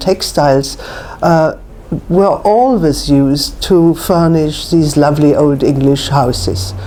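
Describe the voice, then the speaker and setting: Against noticeable background noise, a woman talks at a fairly slow pace with lively intonation. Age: 70s. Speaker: antique rug and textile dealer. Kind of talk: interview.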